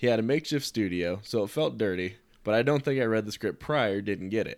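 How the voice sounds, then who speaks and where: With lively intonation and a fairly quick pace, a man speaks in a normal speaking voice on a very clean recording with a silent background. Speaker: co-host. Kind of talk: casual chat, reading notes aloud.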